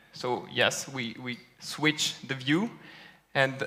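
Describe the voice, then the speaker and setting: With a French accent, a man talks at a medium pitch with fairly even intonation. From France. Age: young. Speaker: data scientist. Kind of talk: conference talk. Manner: hesitant with fillers.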